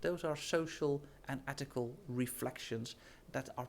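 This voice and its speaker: This man, with a Dutch accent, speaks at a fairly high pitch with ordinary pitch variation. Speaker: professor. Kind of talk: presentation. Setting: studio.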